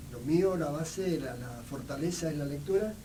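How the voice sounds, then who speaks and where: A man talks very slowly, his pitch varying in an ordinary way, with audible room echo and noticeable background noise around him. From Argentina, Mendoza (Medrano). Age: 60s. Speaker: writer and photographer. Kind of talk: radio interview. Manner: halting, many fillers.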